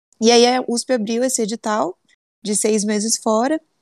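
A woman with a plain, everyday voice, fairly high in pitch, at a fairly slow pace, in a dry, close sound with no echo and a quiet background. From Brazil, São Paulo state interior (Sertãozinho). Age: 20s. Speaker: engineer and business analyst. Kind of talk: interview.

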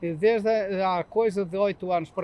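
The pitch rises and falls a normal amount. It belongs to a man. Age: 60s. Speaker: street chestnut vendor. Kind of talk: interview. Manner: halting.

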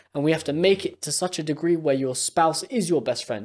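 A man with a London accent has an energetic tone. His pace is fairly quick. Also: very clean recording, silent background. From UK. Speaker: podcast co-host. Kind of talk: casual chat.

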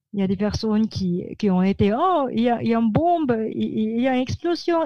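A woman speaks at a fairly slow pace in a dark, mellow tone. Her pitch swings very widely over a quiet background. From Philippines, Manila. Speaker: publicist. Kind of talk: interview. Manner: halting.

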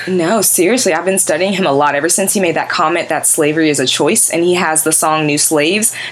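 Over noticeable background noise, a woman with a fairly low pitch speaks at a very fast pace with hardly any pauses, very even loudness and ordinary pitch variation. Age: 20s. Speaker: podcast host. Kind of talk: casual banter chat.

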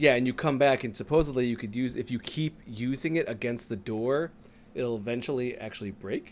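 A man with a normal speaking voice, medium pitch, ordinary pitch variation, and a fairly quick pace. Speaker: co-host. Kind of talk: casual chat.

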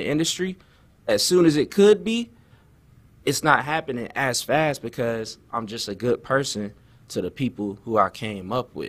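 Heard on a very clean recording over a silent background, a man with an American accent uses an unremarkable speaking voice at a fairly high pitch and moderate pace. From Florida (Tampa Bay). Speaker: rapper. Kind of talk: interview. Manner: casual.

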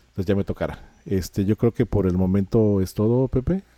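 Recorded very cleanly against a silent background, a man speaks in a fairly low, dark, mellow tone with fairly even intonation and a dry, close sound with no echo. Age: 40s. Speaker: podcast co-host. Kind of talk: casual chat.

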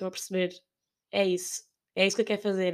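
A woman speaks at a medium pitch in a European Portuguese accent. The recording is very clean, and the background is silent. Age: 20s. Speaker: podcast host. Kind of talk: solo monologue, casual. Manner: hesitant, with laughs.

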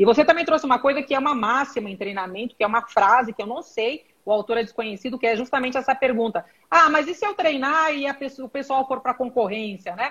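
A woman's very fast speech with ordinary pitch variation. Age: 50s. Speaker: corporate training executive. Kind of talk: live-stream interview.

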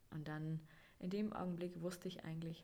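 At a moderate pace, a woman speaks in a dark, mellow, somewhat breathy tone. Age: 20s. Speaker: podcast host, mother. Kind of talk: personal storytelling monologue.

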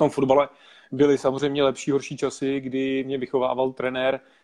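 A man speaks at medium pitch and a moderate pace. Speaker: network marketing entrepreneur. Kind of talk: interview.

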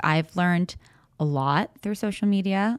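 The pace is moderate and the pitch varies in an ordinary way. The recording is very clean and silent behind the voice, with a dry, close sound and no echo. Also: woman. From US, Las Vegas (born in Argentina, moved at three). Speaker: pro sports cheerleader and performer. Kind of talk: casual chat.

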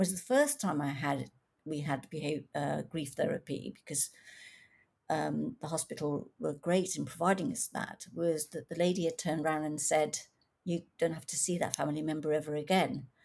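A woman with a very deep, low voice and vocal fry speaks with ordinary pitch variation. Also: moderate pace. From England, Coventry (born in East Africa). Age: 60s. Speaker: author. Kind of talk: interview.

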